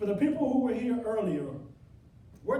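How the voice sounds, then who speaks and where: With lively intonation, a man talks through audible room echo and noticeable background noise. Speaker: motivational speaker. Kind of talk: motivational speech to a workshop audience. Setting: stage with live audience. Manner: loud; energetic, animated.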